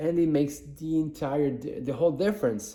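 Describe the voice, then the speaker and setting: A man mumbles in a fairly high pitch. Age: 40s. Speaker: podcaster and content creator. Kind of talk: casual vlog monologue. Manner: halting, many fillers and restarts; mumbling.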